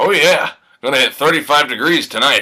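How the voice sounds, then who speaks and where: A raspy, put-on character voice from a man at a fairly quick pace. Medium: stage play.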